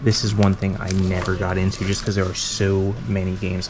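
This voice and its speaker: Noticeable background noise sits under a man speaking at a moderate pace in a fairly low pitch. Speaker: thrift reseller vlogger. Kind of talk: vlog walkthrough. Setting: indoors in a thrift store. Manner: casual, chatty.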